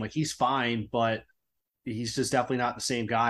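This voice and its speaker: On a very clean recording with a silent background, a man with an ordinary speaking voice talks at a fairly quick pace and medium pitch. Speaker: fantasy football league commissioner and co-host.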